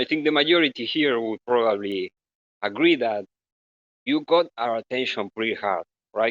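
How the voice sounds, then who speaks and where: A man with a Spanish accent speaks at a medium pitch and a moderate pace, with lively intonation. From Argentina. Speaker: community member asking question. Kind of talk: audience question.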